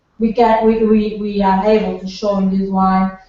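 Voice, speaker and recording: Fairly slow and monotone, with flat intonation, a woman with a fairly high pitch talks in a Portuguese accent. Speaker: winemaker. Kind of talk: product presentation on video call. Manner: halting, many repetitions.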